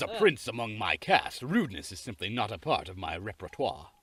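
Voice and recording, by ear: In a natural voice, the text is being read aloud.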